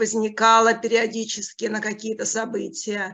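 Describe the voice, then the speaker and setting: A woman speaks with a bright, sharp tone and a fairly high pitch. Her pace is fairly slow and her intonation fairly even. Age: 50s. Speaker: coaching school student. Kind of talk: testimony.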